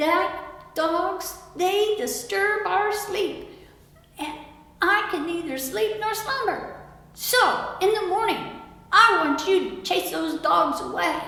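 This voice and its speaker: A woman's put-on character voice, extremely high in pitch with lively intonation, very slow, and full of strong echo. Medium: read story. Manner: shrill, nagging.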